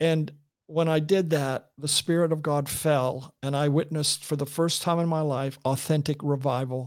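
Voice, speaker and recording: Speech moves at a moderate pace. The intonation stays monotone and flat. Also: man, fairly high pitch for a man. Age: 70s. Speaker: Bible translator and minister. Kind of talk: interview. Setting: video call.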